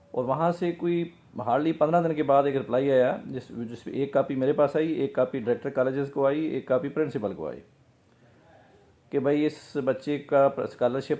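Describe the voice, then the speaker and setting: A man speaks in a dark, mellow tone at a fairly high pitch, with ordinary pitch variation. The background is quiet. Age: 50s. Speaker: businessman. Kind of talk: casual talk to camera, personal story.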